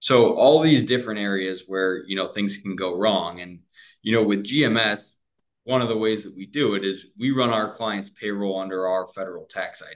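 Using a normal speaking voice with an American accent, a man at a fairly low pitch talks at a moderate pace with ordinary pitch variation and big swings in loudness. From US Midwest, Cleveland, Ohio. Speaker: sales manager. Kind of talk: interview.

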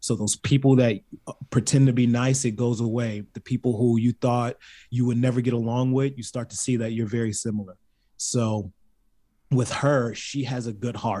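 A man in a Baltimore accent, medium-pitched, at a moderate pace, with a dark, mellow tone. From Baltimore, US. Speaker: reality competition contestant. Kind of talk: casual chat. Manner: animated, jokey.

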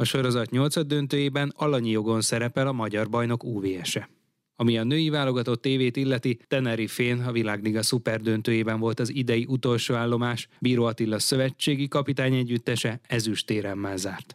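A normal speaking voice comes at a fairly quick pace with fairly even intonation and very even loudness. The sound is dry and close, with no echo. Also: man, medium pitch for a man. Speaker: radio sports editor. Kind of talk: news reading.

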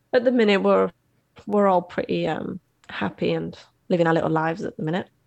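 Fairly quick and fairly low-pitched, a woman speaks with an English accent and vocal fry, in a dry, close sound with no echo. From England. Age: 30s. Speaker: bereaved mother. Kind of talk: interview.

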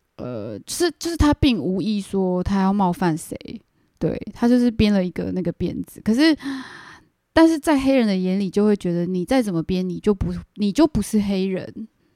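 A woman with a medium pitch speaks at a moderate pace in a dark, mellow tone, her pitch swinging very widely. The recording is very clean and silent in the background, with a dry, close sound and no echo. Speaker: podcast co-host. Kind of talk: casual chat.

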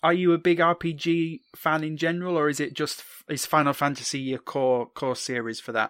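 Speaking at a fairly quick pace with a British accent, the voice shows ordinary pitch variation. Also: man, fairly high pitch for a man. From Britain. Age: 30s. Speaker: podcast host. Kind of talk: casual chat interview. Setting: remote call across time zones.

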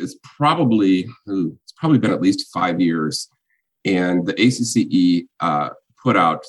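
This man speaks with an American accent. His pitch is very deep and low. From Illinois, US Midwest. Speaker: chamber of commerce executive. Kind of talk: interview conversation. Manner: halting with fillers and repetitions.

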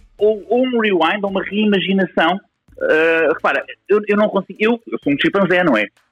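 At a moderate pace, a man speaks in a high voice with ordinary pitch variation and very even loudness. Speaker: software technologist. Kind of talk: casual discussion. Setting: live audio social room, recorded.

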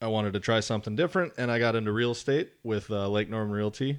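A man with a normal speaking voice talks in an American accent against a quiet background. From Wisconsin. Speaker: land trust development associate. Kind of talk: casual chat. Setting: studio.

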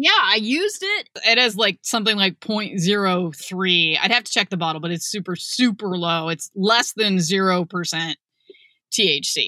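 Recorded dry and close with no echo, a woman's voice comes across with a bright, sharp tone. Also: medium pitch for a woman, ordinary pitch variation, fairly slow pace. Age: 40s. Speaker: podcast host and author. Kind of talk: casual chat.

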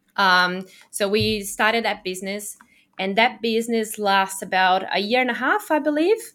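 In a Portuguese accent, a woman with a medium pitch and a bright, sharp tone talks at a moderate pace with ordinary pitch variation on a very clean recording with a silent background. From Brazil. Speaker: online business owner. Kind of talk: interview.

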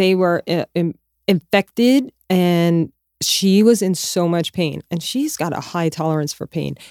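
A woman's ordinary speaking voice at medium pitch, fairly slow with lively intonation, in a dry, close sound with no echo. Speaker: podcast co-host. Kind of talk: casual banter between co-hosts.

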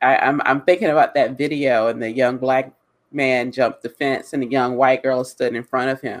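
A man's normal speaking voice, medium in pitch, with an American accent and fairly even intonation. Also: moderate pace. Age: 40s. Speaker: diversity and hiring consultant. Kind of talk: live webinar discussion. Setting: online live stream.

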